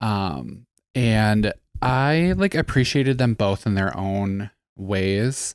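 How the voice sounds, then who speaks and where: A man with a Wisconsin accent, fairly low in pitch, with ordinary pitch variation on a very clean recording with a silent background. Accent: Upper Midwest (Wisconsin). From Wisconsin (Eau Claire, Gilman). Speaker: podcast co-host. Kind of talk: casual chat.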